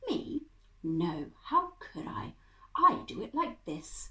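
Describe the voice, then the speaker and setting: Delivered very slowly, this is a put-on character voice. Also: woman. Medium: read story.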